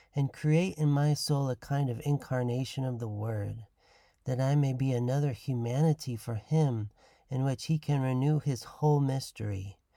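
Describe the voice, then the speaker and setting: A man's dark, mellow voice, solemn in tone, with ordinary pitch variation, on a very clean recording against a silent background. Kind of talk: devotional teaching podcast with prayer readings; fervent prayer, read aloud reverently. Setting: studio podcast recording. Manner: solemn, reverent, slow and contemplative in prayer; warm, formal, teacherly.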